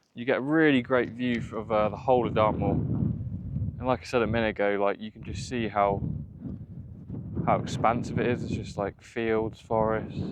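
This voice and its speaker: With fairly even intonation, a man talks against noticeable background noise. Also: medium pitch for a man, moderate pace. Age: 20s. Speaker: outdoor vlogger. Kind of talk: casual talk to camera. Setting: outdoors.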